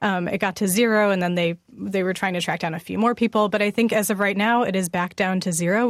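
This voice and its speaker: Using a normal speaking voice, a woman at medium pitch speaks at a fairly quick pace with fairly even intonation, recorded dry and close with no echo. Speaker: radio news director. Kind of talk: news interview. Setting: remote link from another city.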